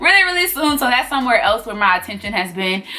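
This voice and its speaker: Noticeable background noise accompanies a woman speaking with a Southern US accent. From US South. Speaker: sewing tutor. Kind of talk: tutorial. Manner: loud; casual.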